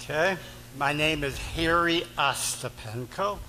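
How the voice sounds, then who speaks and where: With audible room echo and noticeable background noise, a man speaks in a fairly high pitch with ordinary pitch variation. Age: 70s. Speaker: war veteran asking questions. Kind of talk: town hall Q&A. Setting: town hall meeting with audience.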